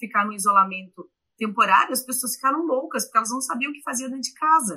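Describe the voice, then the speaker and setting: Her voice is high-pitched, bright and sharp, with ordinary pitch variation. The woman speaks at a very fast pace. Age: 40s. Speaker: journalist and university professor. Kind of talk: interview. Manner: halting.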